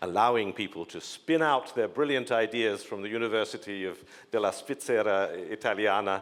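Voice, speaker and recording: Speaking at a moderate pace, a man with an English accent uses lively intonation. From England. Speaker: panelist. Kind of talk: panel discussion.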